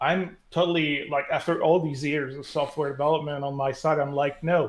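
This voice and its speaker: Speaking in a Quebec accent, a man with a fairly high voice talks at a moderate pace with monotone, flat intonation. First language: French. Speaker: developer relations director. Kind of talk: casual tech interview. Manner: halting, many fillers.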